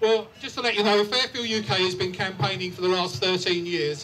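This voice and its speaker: A man talks in a raised, projected voice, high in pitch, at a fairly quick pace. Noticeable background noise sits behind him. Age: 60s. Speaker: campaign group leader speaking at a rally. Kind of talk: rally speech. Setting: outdoor rally with crowd and PA.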